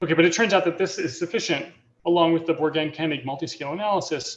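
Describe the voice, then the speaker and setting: A man's fairly high-pitched voice at a very fast pace. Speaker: mathematician giving invited talk. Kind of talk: lecture. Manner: halting, many fillers.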